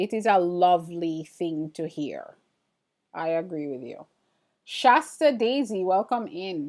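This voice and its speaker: A woman speaks at medium pitch with an American accent and lively intonation. The recording is very clean, with a silent background. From Jamaica. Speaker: printmaking artist and livestreamer. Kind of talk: casual livestream chat reading viewer comments. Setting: live stream. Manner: animated.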